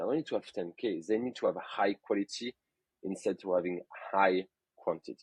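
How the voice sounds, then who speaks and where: With a French accent, a man talks at a fairly quick pace and a fairly low pitch, in a dry, close sound with no echo. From France, Burgundy. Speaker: photographer. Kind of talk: podcast interview. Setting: podcast.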